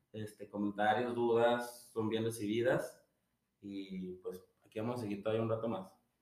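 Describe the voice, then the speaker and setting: Speaking at a moderate pace, the man has a medium pitch and a Mexican accent. His intonation is monotone and flat. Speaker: podcast co-host. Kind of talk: casual chat.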